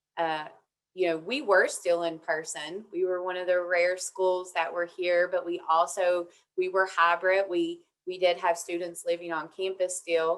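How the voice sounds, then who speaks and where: Speaking with an Appalachian accent, a woman talks at a fairly slow pace. Her fairly low voice keeps a monotone, flat intonation. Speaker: university administrator, panelist. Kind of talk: webinar panel talk.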